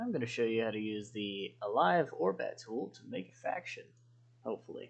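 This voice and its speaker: The speaker mumbles quietly. The pace is moderate. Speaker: game mod tutorial maker. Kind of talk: unedited screen-recorded tutorial. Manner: mumbling, quiet.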